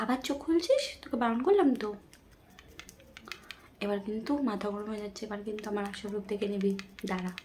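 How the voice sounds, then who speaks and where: Marked by a playful tone and ordinary pitch variation, the voice is heard over noticeable background noise. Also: woman, fairly high pitch for a woman. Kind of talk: ASMR makeup roleplay, casual talk to a friend. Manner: soft, playful, bossy-friendly.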